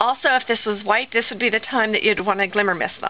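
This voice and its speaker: The speaker is a woman with a plain, everyday voice. Her pitch is fairly high, with ordinary pitch variation, at a moderate pace. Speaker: crafter. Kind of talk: tutorial.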